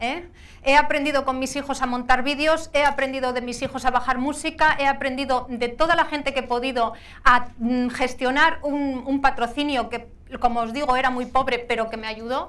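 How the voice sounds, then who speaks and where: A woman's high-pitched voice has a bright, sharp tone and a monotone, flat intonation. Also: moderate pace. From Asturias, Spain. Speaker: adventurer and motorcycle rider; speaker. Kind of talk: motivational talk. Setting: stage with audience. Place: hall. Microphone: lapel.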